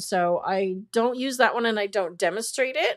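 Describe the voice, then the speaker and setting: At a moderate pace and with lively intonation, a woman talks in an ordinary speaking voice on a very clean recording with a silent background. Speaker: photography teacher. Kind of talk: livestream tutorial. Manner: casual.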